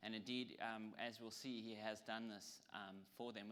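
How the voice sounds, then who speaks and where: Bright and sharp in tone, a man with a South African accent talks at medium pitch. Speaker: lecturer. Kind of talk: lecture. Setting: audience with PowerPoint. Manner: hesitant, with frequent ums.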